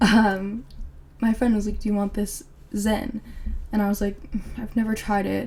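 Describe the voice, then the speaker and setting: A woman's somewhat breathy voice at a medium pitch, dark and mellow in tone, with an American accent. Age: 20s. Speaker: podcast host. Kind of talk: casual chat.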